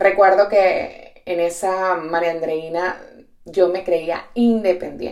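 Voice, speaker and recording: A very slow pace with fairly even intonation. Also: woman, medium pitch for a woman. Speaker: podcast host and entrepreneur. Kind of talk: reflective solo monologue. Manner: direct.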